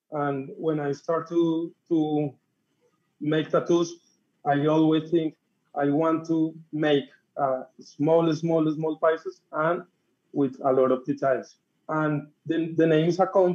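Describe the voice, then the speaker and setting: Fairly high in pitch, a man speaks at a very slow pace with monotone, flat intonation. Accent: Spanish. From Colombia, Bogota. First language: Spanish. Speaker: tattoo artist. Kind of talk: interview. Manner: halting.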